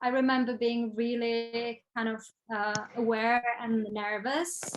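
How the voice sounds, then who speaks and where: With a Czech accent, a woman talks at a fairly high pitch. Her intonation stays fairly even. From Czech Republic. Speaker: photographer and designer. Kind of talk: interview. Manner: hesitant, many fillers.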